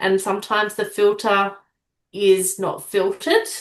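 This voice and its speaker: Speaking at a medium pitch, a woman uses fairly even intonation in an Australian accent. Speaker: public speaking coach, aspiring sports commentator. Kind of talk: interview. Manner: direct.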